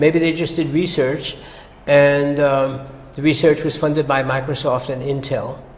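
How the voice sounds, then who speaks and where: A man's fairly high-pitched voice with an American accent in a monotone, flat intonation at a moderate pace, with audible room echo and noticeable background noise. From US. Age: 70s. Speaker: psychologist. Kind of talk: interview. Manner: halting.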